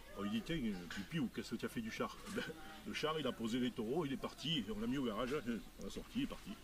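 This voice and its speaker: Male voice at a fairly quick pace with very wide pitch swings, over noticeable background noise. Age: 60s. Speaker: heritage campaigner. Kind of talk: casual chat.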